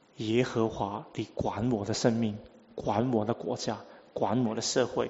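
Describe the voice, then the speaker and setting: At a very slow pace, a man with a Cantonese accent speaks at a medium pitch. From Hong Kong. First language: Cantonese (speaking Chinese). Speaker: preacher. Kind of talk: sermon.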